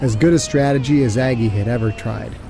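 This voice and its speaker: A man of medium pitch talks at a moderate pace with ordinary pitch variation. Noticeable background noise runs beneath him. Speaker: author and audiobook narrator. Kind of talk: audiobook narration.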